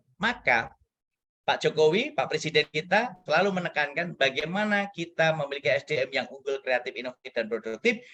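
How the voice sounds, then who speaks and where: A man's fairly high, bright, sharp voice with lively intonation at a fairly quick pace. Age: 40s. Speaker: guest lecturer. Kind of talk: lecture. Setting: guest lecture to students. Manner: animated.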